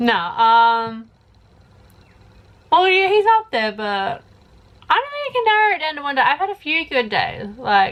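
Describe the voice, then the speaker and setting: Speaking with an Australian accent, a woman uses a high voice with very wide pitch swings and long, frequent pauses. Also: moderate pace. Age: 20s. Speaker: YouTuber. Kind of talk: casual Q&A vlog.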